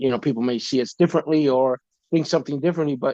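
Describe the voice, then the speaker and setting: A man with a New York accent speaks at a fairly high pitch. The sound is dry and close, with no echo. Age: 50s. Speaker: podcaster sharing faith testimony. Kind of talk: casual interview chat. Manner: hesitant, many fillers.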